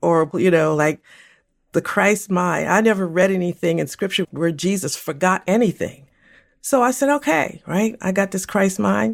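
Here is a woman with a normal speaking voice, medium in pitch, talking at a moderate pace. Her intonation is lively, and the recording is very clean with a silent background. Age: 60s. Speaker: co-host and former pastor. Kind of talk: casual conversational podcast discussion.

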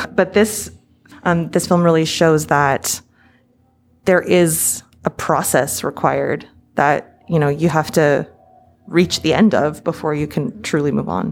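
Very deep, low pitch from a woman with ordinary pitch variation, long, frequent pauses, and music in the background. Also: fairly slow pace. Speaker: podcast host. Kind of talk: interview. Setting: on site at a film festival.

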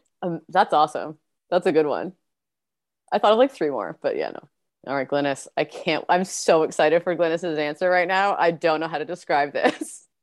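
A woman speaks at a moderate pace and a fairly low pitch. Her pitch variation is ordinary. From Canada. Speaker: wine business owner. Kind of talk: casual chat. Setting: video call. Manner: animated.

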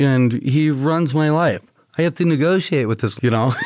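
Using a normal speaking voice, a man talks at a moderate pace with ordinary pitch variation. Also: very clean recording, silent background. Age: 50s. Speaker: comedian. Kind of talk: casual chat. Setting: studio.

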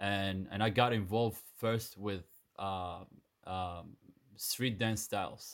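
A man with a Sudanese accent speaks at a fairly low pitch in a monotone, flat intonation. The recording is very clean with a silent background. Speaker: dancer and dance teacher. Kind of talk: interview conversation.

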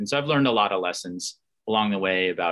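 In a bright, sharp tone, a man with an American accent talks at a fairly quick pace with ordinary pitch variation. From upstate New York, Adirondacks. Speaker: former Olympic athlete, sports executive. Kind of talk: interview.

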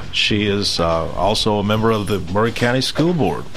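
Over noticeable background noise, a man talks at a fairly slow pace with an American accent. His pitch is fairly low. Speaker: radio host. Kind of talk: casual chat. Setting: studio.

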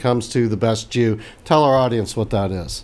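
A man talks in a normal speaking voice at a medium pitch. His pitch varies in an ordinary way. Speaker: interviewer. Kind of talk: interview. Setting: remote interview.

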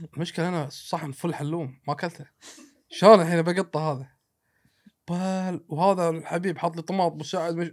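A man speaks in a Kuwaiti accent with high pitch. His pace is moderate, on a very clean recording with a silent background. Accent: Kuwaiti Gulf Arabic. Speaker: traveler and road-trip adventurer. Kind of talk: casual storytelling chat.

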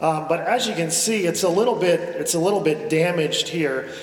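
There is noticeable background noise behind a man's voice. He speaks in a high pitch with ordinary pitch variation. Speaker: pastor. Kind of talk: sermon. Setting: church; stage with audience.

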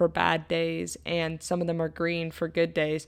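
A woman at a fairly slow pace, fairly low in pitch, with fairly even intonation, on a very clean recording with a silent background. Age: 20s. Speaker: college basketball player and podcast host. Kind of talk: solo monologue podcast.

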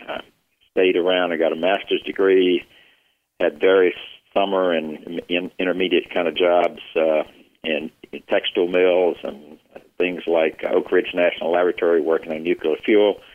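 Monotone, flat intonation in a Southern US accent. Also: man, very deep, low pitch for a man, moderate pace. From US South, South Carolina Piedmont. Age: 60s. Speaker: retired business executive. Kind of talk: interview.

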